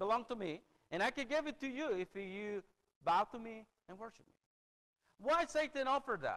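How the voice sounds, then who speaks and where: This man's voice sits high for a man and swings very widely in pitch. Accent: Spanish. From El Salvador. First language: Spanish. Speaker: preacher. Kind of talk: sermon. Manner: halting.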